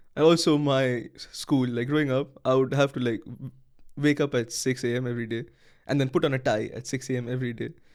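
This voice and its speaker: A man with a Bengali accent talks very fast at a medium pitch. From India, Kolkata, West Bengal. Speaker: university student. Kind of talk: casual chat.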